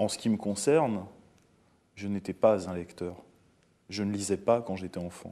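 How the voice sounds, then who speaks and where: Over a quiet background, a man with a fairly low pitch and a dark, mellow tone speaks fairly slowly, with ordinary pitch variation, long, frequent pauses and big swings in loudness. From France. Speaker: interviewer. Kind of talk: interview.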